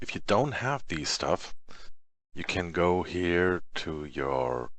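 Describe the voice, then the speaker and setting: Very slowly, a man speaks with very wide swings in pitch. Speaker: software tutorial creator. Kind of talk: tutorial. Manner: halting, many fillers.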